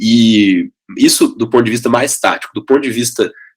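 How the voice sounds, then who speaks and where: In a Minas Gerais accent, a man speaks at a medium pitch and moderate pace with fairly even intonation. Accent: mineiro. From Minas Gerais, Brazil (Belo Horizonte). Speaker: education company CEO. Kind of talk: podcast interview.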